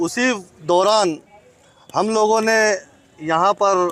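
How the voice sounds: This man speaks at a high pitch with fairly even intonation.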